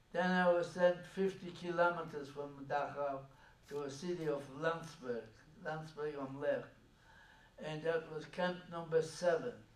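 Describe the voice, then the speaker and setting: Over noticeable background noise, a man speaks at a fairly slow pace and a fairly high pitch, with fairly even intonation. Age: 80s+. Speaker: Holocaust survivor. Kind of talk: public talk recounting personal history.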